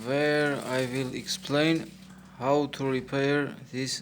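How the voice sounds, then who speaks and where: A man with a non-native accent talks at a very slow pace and a medium pitch. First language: not English. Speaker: electronics repair technician. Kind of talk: tutorial. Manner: halting, with many fillers.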